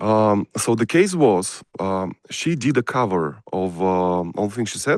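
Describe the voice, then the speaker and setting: Speaking at a very slow pace with lively intonation, a man with a Russian accent is heard against a quiet background. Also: fairly low pitch for a man, dry, close sound with no echo. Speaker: music producer and songwriter. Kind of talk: interview. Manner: hesitant, many fillers.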